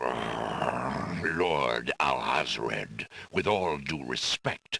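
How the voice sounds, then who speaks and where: A man's growling, put-on character voice, very deep and low in pitch and very slow in pace. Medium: video game. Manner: stern, formal.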